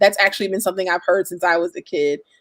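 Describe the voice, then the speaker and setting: A loud woman's voice with an American accent. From US South, coastal North Carolina. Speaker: singer-songwriter and spoken word artist. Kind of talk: live online interview. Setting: livestream. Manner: fast.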